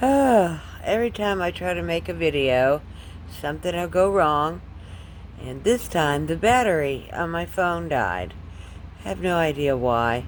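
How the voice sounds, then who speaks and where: Speaking at a fairly slow pace, a woman with a very deep, low pitch makes very wide pitch swings amid audible room echo. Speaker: watercolor artist, small channel owner. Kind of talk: painting tutorial. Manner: hesitant, filler words.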